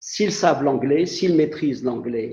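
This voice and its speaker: This man's fairly high-pitched voice has a dark, mellow tone and is somewhat breathy. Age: 70s. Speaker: translator and interpreter. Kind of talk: online talk. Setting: video call. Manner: halting.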